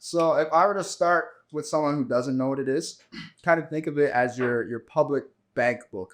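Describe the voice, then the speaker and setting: Fairly high in pitch, a man speaks in a plain, everyday voice. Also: lively intonation, moderate pace. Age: 30s. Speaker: entrepreneur and blockchain educator. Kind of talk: casual interview.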